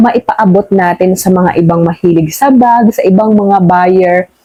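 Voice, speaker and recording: A woman with an ordinary speaking voice talks at a moderate pace in a medium pitch with ordinary pitch variation. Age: middle-aged. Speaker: YouTube vlogger. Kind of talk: casual chat. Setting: at home at night.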